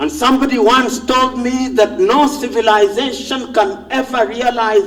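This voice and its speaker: A man with a Kenyan accent, passionate tone and extremely high pitch, against noticeable background noise. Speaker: professor, public intellectual. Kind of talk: public speech. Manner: passionate, powerful oratory.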